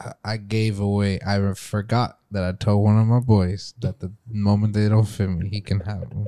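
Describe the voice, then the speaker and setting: Dry and close with no echo, a man with a fairly low pitch and a dark, mellow tone speaks at a moderate pace in a flat monotone with hardly any pauses. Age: 20s. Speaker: podcast co-host. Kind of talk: casual chat.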